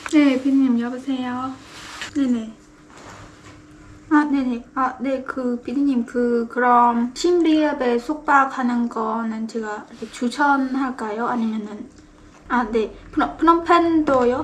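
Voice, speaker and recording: Speaking at a very slow pace, a woman keeps her intonation fairly even. Her pitch is high. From Cambodia. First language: Khmer (speaking Korean). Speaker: vlogger, TV coordinator. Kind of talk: phone call; casual chat.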